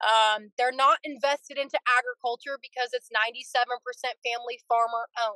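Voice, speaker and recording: A woman's raised, projected voice with an American accent, high in pitch and bright and sharp in tone, at a moderate pace, dry with no echo over a quiet background. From California, Fresno area. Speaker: dairy farmer. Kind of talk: interview. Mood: earnest, concerned. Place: car. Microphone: video call.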